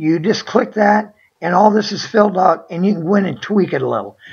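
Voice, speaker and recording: Vocal fry marks this woman's medium-pitched voice, which has ordinary pitch variation and a moderate pace. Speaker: online seller. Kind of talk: screen-share tutorial. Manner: hesitant, many fillers; casual, conversational.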